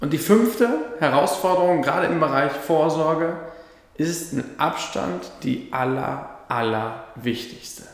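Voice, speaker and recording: Audible room echo and noticeable background noise surround a man with a fairly high pitch. He speaks at a fairly slow pace with lively intonation. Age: 20s. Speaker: financial advisor podcaster. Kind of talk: solo explainer monologue.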